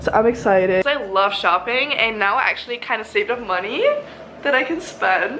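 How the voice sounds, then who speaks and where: With lively intonation, a woman talks at a fairly quick pace over light background noise. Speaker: student vlogger. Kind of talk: casual vlog chat. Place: home room. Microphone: phone near.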